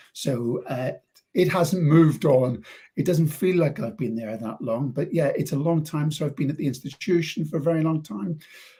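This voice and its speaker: The voice is dark, mellow and somewhat breathy. It moves at a moderate pace with ordinary pitch variation. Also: man, fairly high pitch for a man. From Northern Ireland, Belfast. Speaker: university lecturer. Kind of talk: interview.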